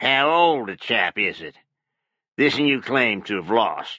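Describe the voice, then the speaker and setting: Putting on a character voice, a man speaks raspily at a medium pitch and a fairly slow pace. His intonation is lively, and his loudness swings widely. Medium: read story. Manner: folksy, cunning.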